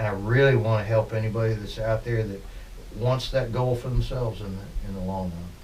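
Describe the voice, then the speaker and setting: Fairly quick speech with fairly even intonation rings with audible room echo. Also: man, medium pitch for a man. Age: 60s. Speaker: musician. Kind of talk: interview. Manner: halting.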